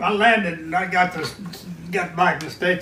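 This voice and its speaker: Noticeable background noise runs under this recording. A man with an American accent speaks at a fairly quick pace in a high voice. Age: 90s. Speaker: war veteran. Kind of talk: interview answer.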